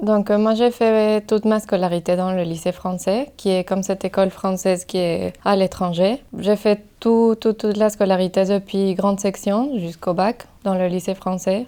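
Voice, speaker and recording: A woman with a Mexican accent speaks in a dark, mellow tone at a fairly slow pace with hardly any pauses. Her loudness stays very even and her intonation fairly even. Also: medium pitch for a woman. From Mexico City. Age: 20s. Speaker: migrant association volunteer. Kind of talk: personal testimony. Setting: podcast recording. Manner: hesitant, many fillers.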